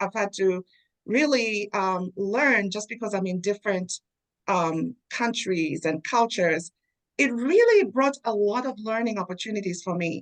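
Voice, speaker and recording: With a Zambian accent, a woman of medium pitch speaks at a moderate pace in a dry, close sound with no echo. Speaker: DEI leader. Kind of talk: interview.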